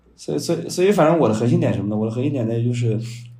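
A man with a medium-pitched voice, a dark, mellow tone and some vocal fry speaks with lively intonation, and the room echo is audible. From China, Shandong. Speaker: new media content strategist and author. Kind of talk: podcast interview. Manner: fast, repetitive filler words.

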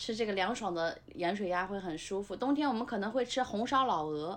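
An ordinary speaking voice at a moderate pace, with ordinary pitch variation and a quiet background. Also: woman. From Nanjing suburbs, China. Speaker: former restaurant industry worker. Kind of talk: casual chat.

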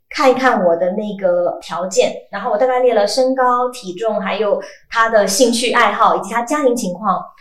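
The voice moves with ordinary pitch variation over noticeable background noise. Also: woman, fairly high pitch for a woman, moderate pace. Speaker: voice actor. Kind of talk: casual chat. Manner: animated.

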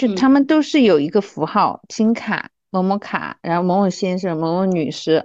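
Over a quiet background, a woman with a plain, everyday voice, medium pitch and lively intonation speaks at a moderate pace with hardly any pauses. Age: 30s. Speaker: former flight attendant, account manager. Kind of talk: casual chat.

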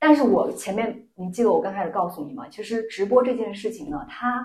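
A woman's fairly high, somewhat breathy voice with lively intonation at a moderate pace, in audible room echo. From Lanzhou, Gansu, northwest China. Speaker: job seeker in a mock interview. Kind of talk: mock job interview. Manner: halting.

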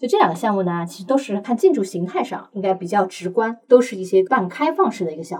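Talking very fast with hardly any pauses, a woman at a medium pitch uses lively intonation and big swings in loudness. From Shanghai. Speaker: commercial real estate expert. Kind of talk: interview.

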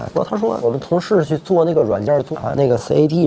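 A man speaks at a very fast pace with lively intonation over noticeable background noise. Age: 40s. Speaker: optometrist. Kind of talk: interview.

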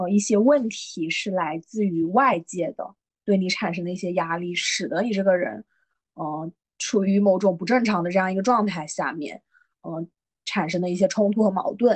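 A woman talks at a moderate pace in a plain, everyday voice. Her medium pitch shows ordinary variation. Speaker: podcast host. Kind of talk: casual chat.

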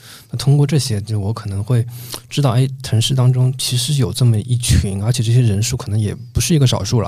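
A man's medium-pitched voice at a very fast pace with fairly even intonation. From Shanghai (Changning district). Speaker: podcast host. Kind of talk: casual chat.

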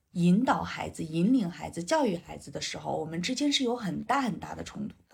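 Talking at a fairly quick pace with hardly any pauses, a woman shows big swings in loudness. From northern rural China. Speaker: five-elements psychology counselor. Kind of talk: casual interview chat.

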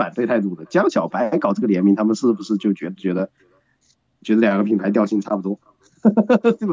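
Recorded with a dry, close sound and no echo, a man speaks at a moderate pace with lively intonation. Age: 30s. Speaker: guest commentator. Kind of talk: casual chat.

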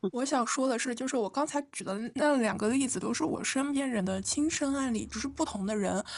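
Over noticeable background noise, a woman with a high pitch speaks at a fairly quick pace, with ordinary pitch variation and hardly any pauses. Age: 20s. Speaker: podcast co-host. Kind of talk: casual chat.

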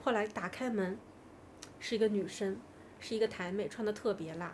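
Here a woman has a plain, everyday voice with ordinary pitch variation. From China. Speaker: podcast guest sharing personal stories. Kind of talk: casual storytelling chat.

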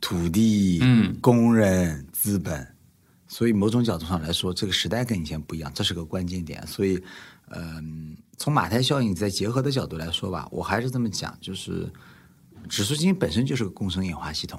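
Speaking at a moderate pace, a man with a very deep, low voice uses lively intonation. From Nanjing, China. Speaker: investor. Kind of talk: casual chat.

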